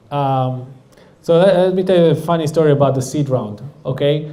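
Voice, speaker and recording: A man in an Israeli accent, fairly high in pitch, with a dark, mellow tone, ordinary pitch variation and a moderate pace amid audible room echo. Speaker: startup founder and CEO. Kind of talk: audience Q&A talk. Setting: stage with audience.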